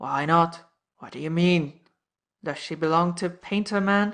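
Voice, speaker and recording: Using a put-on character voice, a woman speaks at a moderate pace with a fairly low pitch and fairly even intonation. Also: big swings in loudness. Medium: read story. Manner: blunt, terse.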